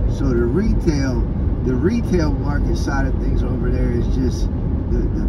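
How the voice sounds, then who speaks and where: Amid loud background noise, a man talks at a moderate pace. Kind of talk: casual vlog chat. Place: car. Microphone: phone near.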